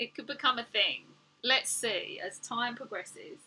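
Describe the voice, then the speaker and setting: Fairly slow and high-pitched, a woman with a slight cockney accent speaks in a bright, sharp tone. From England. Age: 40s. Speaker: artist and art teacher. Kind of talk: livestream chat while painting. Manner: animated.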